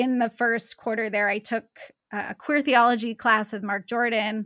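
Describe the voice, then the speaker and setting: The recording is very clean with a silent background as a woman talks at a fairly high pitch. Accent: Pacific Northwest. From US Pacific Northwest (Seattle area). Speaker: theology professor. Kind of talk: interview conversation. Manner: repeats words, slight hesitations.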